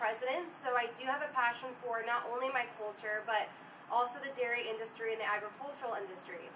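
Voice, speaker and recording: Audible room echo surrounds a woman with a high pitch. She speaks at a fairly quick pace with fairly even intonation. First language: Portuguese. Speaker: student panelist. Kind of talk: panel discussion. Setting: on location at university event.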